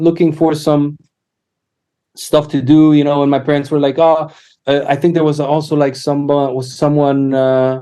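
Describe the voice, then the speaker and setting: A man's fairly high-pitched voice with a dark, mellow tone, monotone, flat intonation and a moderate pace. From Poland, childhood partly in Canada. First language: Polish. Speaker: musician and educator. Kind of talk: podcast interview. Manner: halting, many fillers.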